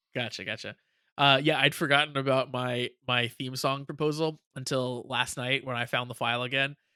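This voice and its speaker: Over a silent background in a very clean recording, a man speaks at medium pitch and a moderate pace, with a bright, sharp tone and monotone, flat intonation. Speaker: podcast co-host. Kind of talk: casual chat. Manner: professional delivery.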